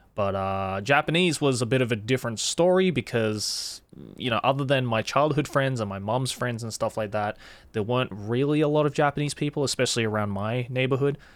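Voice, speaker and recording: At a medium pitch, a man shows ordinary pitch variation. He talks at a fairly quick pace. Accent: Australian. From Australia, Sydney. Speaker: YouTuber and voice actor. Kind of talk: casual interview.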